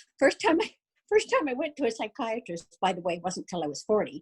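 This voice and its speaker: A woman's fairly high, somewhat breathy voice in a dry, close sound with no echo. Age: 60s. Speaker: guest speaker sharing mental health story. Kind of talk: personal testimony.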